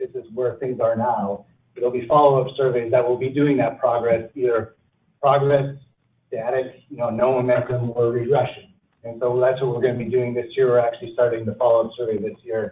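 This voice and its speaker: This man talks at a fairly quick pace and medium pitch. His intonation is monotone and flat. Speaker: research consultant. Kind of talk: presentation. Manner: soft-spoken.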